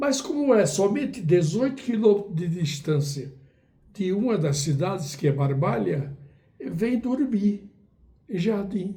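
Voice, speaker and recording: A man's high-pitched voice, dark and mellow in tone, with very wide pitch swings, a fairly slow pace and audible room echo. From Brazil, Northeast (Ceará, Cariri region). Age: 80s+. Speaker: writer and poet. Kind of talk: interview, life story. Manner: halting, with fillers.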